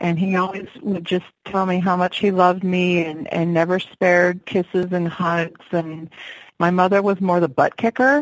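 Speaking at a moderate pace, a woman with an ordinary speaking voice keeps a medium pitch and fairly even intonation. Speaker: singer-songwriter.

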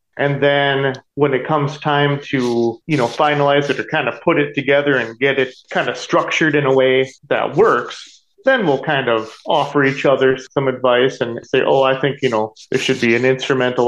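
Fairly even intonation and a moderate pace from a man at a medium pitch. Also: hardly any pauses. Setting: video call.

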